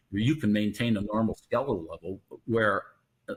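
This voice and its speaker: Somewhat breathy and fairly low for a man, his voice moves at a fairly quick pace with ordinary pitch variation. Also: very clean recording, silent background. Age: 70s. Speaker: vitamin D researcher, professor. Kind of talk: interview.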